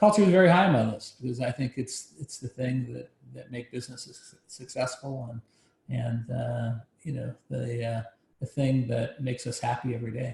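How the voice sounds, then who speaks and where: Somewhat breathy, a man talks at a medium pitch and moderate pace with ordinary pitch variation and big swings in loudness. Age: 60s. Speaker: business founder and author. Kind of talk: interview. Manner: passionate.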